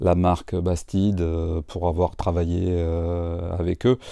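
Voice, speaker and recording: Very slowly, a man speaks with a very deep, low pitch and a dark, mellow tone. The sound is dry with no echo over a quiet background. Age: 40s. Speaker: franchise owner. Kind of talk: interview. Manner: hesitant, many fillers. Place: shop. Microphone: lapel.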